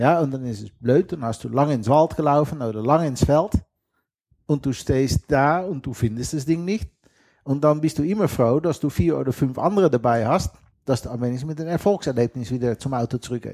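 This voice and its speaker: A man speaks with a Dutch accent at a fairly quick pace, his pitch fairly high and his tone dark and mellow. The sound is dry and close with no echo, in a very clean recording over a silent background. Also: ordinary pitch variation. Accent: thick Dutch. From western Netherlands. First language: Dutch (speaking German). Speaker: geocacher and sailor. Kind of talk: casual interview.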